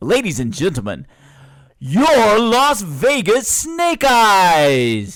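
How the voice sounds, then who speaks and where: Putting on a character voice, a man speaks very slowly at a high pitch with very wide pitch swings. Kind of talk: formal, showy. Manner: nice, polished announcer delivery.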